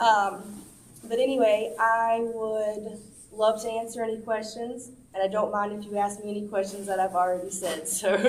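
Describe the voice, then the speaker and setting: With audible room echo, a woman speaks in a fairly high-pitched voice with monotone, flat intonation. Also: moderate pace. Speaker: community activist. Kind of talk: informal talk to senior center audience. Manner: hesitant, many fillers.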